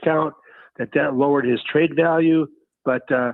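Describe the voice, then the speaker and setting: A man with a plain, everyday voice and a fairly high pitch speaks at a moderate pace. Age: 60s. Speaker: caller. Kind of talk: call-in radio chat.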